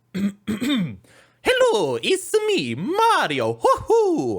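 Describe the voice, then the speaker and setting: A put-on character voice at a very slow pace. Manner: cheerful, exaggerated.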